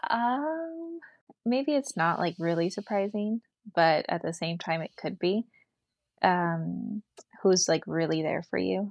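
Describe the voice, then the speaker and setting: A woman talks in a normal speaking voice with ordinary pitch variation. Her pace is fairly slow. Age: 30s. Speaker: small business owner. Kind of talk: casual chat.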